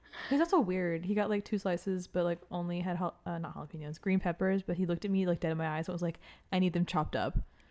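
A woman speaks very fast in a fairly low voice with an American accent. Her tone is dark and mellow. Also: very clean recording, silent background. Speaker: podcast co-host, restaurant server. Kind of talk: casual chat. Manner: animated.

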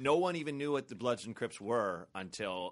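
Moderate-paced speech from a man with a General American accent, ordinary pitch variation and a quiet background. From US Pacific Northwest, Portland, Oregon. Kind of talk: casual chat. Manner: halting, many repeated words.

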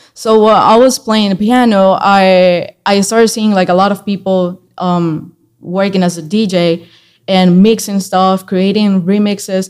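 On a very clean recording with a silent background, a woman with a Spanish accent speaks at a fairly slow pace in a monotone, flat delivery. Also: medium pitch for a woman. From Colombia. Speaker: singer-songwriter and music producer. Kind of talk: interview conversation.

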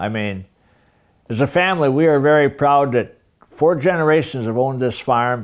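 On a very clean recording with a silent background, a man with an Upper Midwest accent speaks fairly slowly at a fairly high pitch, his intonation lively. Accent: Upper Midwest American. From Minnesota. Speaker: farmer and retired agriculture teacher. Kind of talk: interview. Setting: farmhouse kitchen. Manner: halting, frequent fillers.

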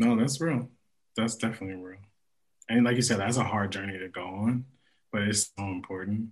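A man with an American accent speaks at a fairly low pitch and a fairly quick pace, with long, frequent pauses, fairly even intonation, big swings in loudness and a somewhat breathy sound. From Los Angeles, US. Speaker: singer-songwriter. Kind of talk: casual chat.

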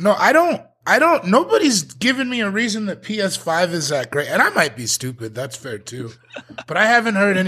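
With an American accent, a man projects a raised, high voice with a bright, sharp tone, very wide pitch swings and a moderate pace. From Colorado, small town. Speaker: comedian. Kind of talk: casual chat.

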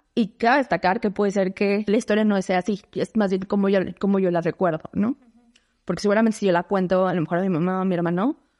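At a very fast pace with hardly any pauses, a woman of medium pitch speaks with fairly even intonation and big swings in loudness, in a dry, close sound with no echo. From Mexico City. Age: 30s. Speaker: economist and consultant. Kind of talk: interview.

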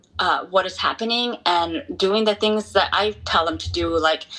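A woman speaks with music in the background. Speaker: ultra runner and activist. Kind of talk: casual interview chat.

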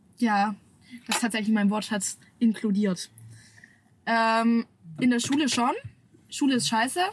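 A woman with a fairly high pitch and a somewhat breathy voice speaks at a fairly slow pace, leaving long, frequent pauses. Her pitch varies in an ordinary way, and her loudness stays very even. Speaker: social media creator. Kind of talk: casual chat. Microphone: camera audio instead of studio mic, worse sound.

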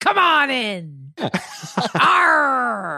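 A put-on character voice, fairly high in pitch, with very wide pitch swings. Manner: gruff, theatrical.

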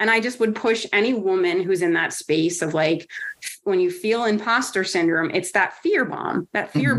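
A woman speaks at a moderate pace with an American accent. She has ordinary pitch variation and an unremarkable speaking voice. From New Jersey. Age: 40s. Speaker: women's wrestling advocate. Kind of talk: interview.

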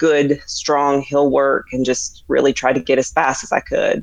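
She is a woman with an American accent. Her pace is fairly slow. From US South, upper East Tennessee (Tri-Cities). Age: 40s. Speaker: ultrarunner. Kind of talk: casual interview.

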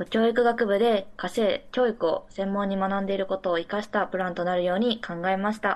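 A woman talks in a normal speaking voice at medium pitch and a fairly quick pace. Her intonation is fairly even, with hardly any pauses. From Mie Prefecture, Japan. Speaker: university student. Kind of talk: remote interview. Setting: remote call.

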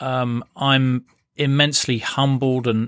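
With a British accent, a man speaks at a medium pitch in a very clean recording with a silent background and a dry, close sound free of echo. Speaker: podcast host. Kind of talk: scripted narration.

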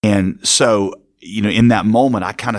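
A man with an ordinary speaking voice, fairly low pitch, fairly even intonation and a fairly slow pace, on a very clean recording with a silent background. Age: 40s. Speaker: pastor. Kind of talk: interview conversation.

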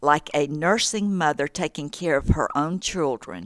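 At a fairly slow pace, a woman speaks in a very deep, low voice. Her intonation is lively. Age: 80s. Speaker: author and former women's ministry director. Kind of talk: interview.

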